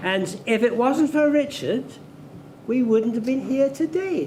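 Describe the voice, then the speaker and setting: A man's extremely high-pitched voice in a Scottish accent, with ordinary pitch variation and noticeable background noise. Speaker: former club chairman. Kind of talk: anniversary dinner reminiscence. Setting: dinner event with audience.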